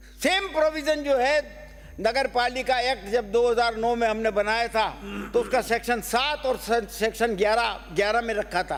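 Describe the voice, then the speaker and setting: A man at an extremely high pitch with ordinary pitch variation and very even loudness, over noticeable background noise. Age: 80s+. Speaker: politician. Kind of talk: legislative assembly speech. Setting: state legislative assembly.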